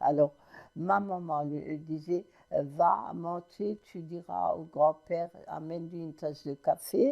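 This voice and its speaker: Her voice has a very deep, low pitch and a dark, mellow tone, with fairly even intonation from this woman throughout. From Moselle, France. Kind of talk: interview answer. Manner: hesitant.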